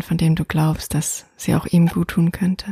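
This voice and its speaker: In a dry, close recording with no echo, a woman speaks at a fairly low pitch in a soothing, calm, dark and mellow tone that is somewhat breathy, her intonation monotone and flat. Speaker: meditation guide. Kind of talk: guided meditation. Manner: slow, soothing, soft-spoken, calm.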